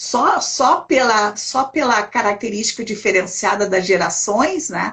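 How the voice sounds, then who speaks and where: A woman is talking. Her pace is fairly slow. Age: 60s. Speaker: elder rights council president. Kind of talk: interview in a live stream. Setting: video call. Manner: halting, many repetitions.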